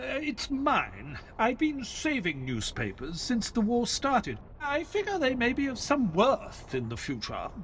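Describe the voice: In a put-on character voice, a man pitches extremely high with a fairly bright tone, swinging very widely in pitch at a fairly slow pace with few pauses.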